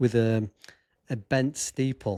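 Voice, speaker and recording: A man in a Derbyshire accent, medium-pitched, with a dark, mellow tone and fairly even intonation. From English Midlands, Chesterfield. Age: 50s. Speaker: sports photographer and filmmaker. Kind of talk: podcast interview.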